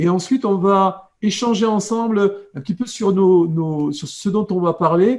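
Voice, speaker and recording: In a southwestern French accent, a man speaks at a fairly slow pace with a high pitch, a dark, mellow tone and ordinary pitch variation. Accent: southwestern France. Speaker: coach and hypnotherapist. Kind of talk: live video chat. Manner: halting, many repetitions.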